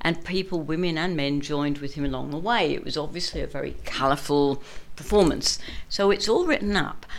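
Speaking at a fairly quick pace with a southern English accent, a woman with a very deep, low pitch shows ordinary pitch variation. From London, England. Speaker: morris dancer. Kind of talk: interview. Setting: studio.

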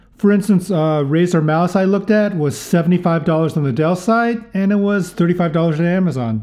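A man speaks in a high pitch with a dark, mellow tone. His pace is fairly slow, with ordinary pitch variation. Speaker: solo tech podcaster. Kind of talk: solo podcast monologue. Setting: home podcast setup with audio processing. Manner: casual, with filler words.

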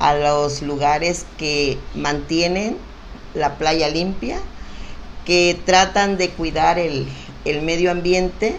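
A woman's fairly low voice at a very slow pace, with noticeable background noise and audible room echo. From Mexico, Acapulco (Guerrero coast). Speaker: local business association leader. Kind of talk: casual interview. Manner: animated.

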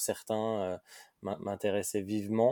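A man's very slow, monotone voice, fairly low in pitch and dark and mellow in tone, with flat intonation and a dry, close sound with no echo, on a very clean recording with a silent background. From France, Lyon. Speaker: startup co-founder and CEO. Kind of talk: interview. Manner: hesitant, many repetitions.

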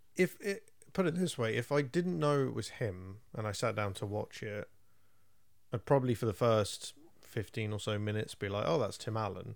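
A man with an English accent at a medium pitch, lively intonation, and a moderate pace, on a very clean recording with a silent background. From England. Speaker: film podcast co-host. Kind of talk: casual chat.

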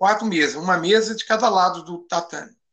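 A man's raised, projected voice, high in pitch. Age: 50s. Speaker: judo instructor. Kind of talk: casual interview.

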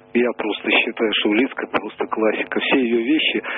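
A man's voice against noticeable background noise. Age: 70s. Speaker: caller. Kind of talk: phone-in discussion.

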